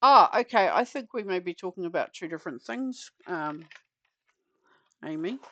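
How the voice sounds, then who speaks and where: A moderate pace broken by long, frequent pauses, over a quiet background. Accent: New Zealand. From New Zealand. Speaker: craft streamer. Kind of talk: casual livestream chat.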